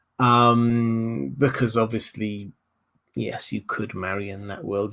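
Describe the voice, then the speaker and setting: With a Southern English accent, a man speaks at a very slow pace in a medium pitch with ordinary pitch variation. The recording is very clean, with a silent background. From southern England, Hampshire. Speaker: YouTube lore commentator. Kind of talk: livestream Q&A. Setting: livestream.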